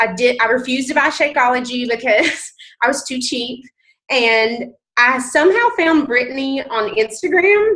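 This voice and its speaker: A woman talks at a moderate pace with a strong Southern US accent. Her high-pitched voice has a bright, sharp tone and lively intonation. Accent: thick Southern US. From US South, mountain North Carolina. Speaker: nurse and fitness coach. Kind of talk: testimony. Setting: conference call.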